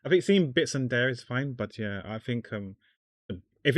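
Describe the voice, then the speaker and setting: In a very clean recording with a silent background and a dry, close sound with no echo, a man with a non-native accent speaks at a moderate pace. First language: not English. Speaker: artist streamer. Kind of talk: casual chat while drawing livestream. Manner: halting, repeats words.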